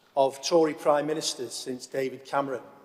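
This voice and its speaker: An ordinary speaking voice comes from a man with a fairly high pitch. He talks at a moderate pace. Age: 50s. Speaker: deputy council leader. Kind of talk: council debate speech. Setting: council chamber.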